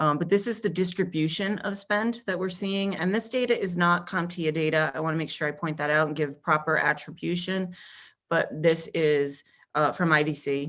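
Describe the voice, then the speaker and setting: In a very clean recording with a silent background, a woman with an American accent uses an ordinary speaking voice, a moderate pace and ordinary pitch variation. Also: fairly low pitch for a woman. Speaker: industry research analyst. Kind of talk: conference presentation.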